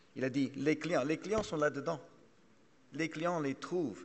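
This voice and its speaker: A man speaks with a strong English accent. His pitch is fairly high and his intonation fairly even. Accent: strongly English-accented French. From Canada. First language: English (speaking French). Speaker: trade association executive, panelist. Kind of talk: conference panel talk. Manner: halting, many repetitions.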